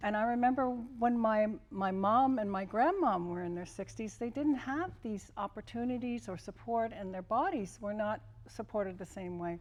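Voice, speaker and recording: Using a plain, everyday voice, a woman talks at a moderate pace, her fairly high pitch showing ordinary variation. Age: 60s. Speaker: former Olympian and kinesiology professor. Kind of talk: panel interview.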